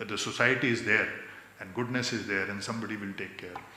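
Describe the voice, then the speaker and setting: A man is speaking in a room with audible echo. Noticeable background noise sits behind his voice. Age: 60s. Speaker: convocation speaker, social activist. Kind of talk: convocation speech. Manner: mixes Hindi and English.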